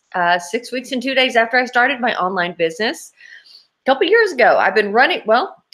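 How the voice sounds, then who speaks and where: A woman talks at a very fast pace. Her pitch is high. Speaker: online business owner. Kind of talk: testimony. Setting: live webinar.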